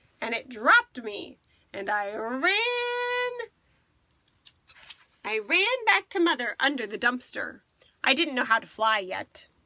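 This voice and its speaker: Using a put-on character voice pitched high, a woman talks at a fairly slow pace with long, frequent pauses. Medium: read story. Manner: grim and thoughtful.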